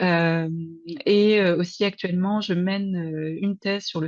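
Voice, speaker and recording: A woman speaks in a normal speaking voice at a medium pitch, with fairly even intonation and a dry, close sound with no echo. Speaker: researcher, PhD student. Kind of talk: webinar presentation.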